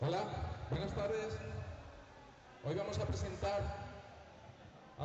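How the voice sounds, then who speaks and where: Light background noise and audible room echo accompany a man speaking. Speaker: arena announcer. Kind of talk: player introductions. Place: hall.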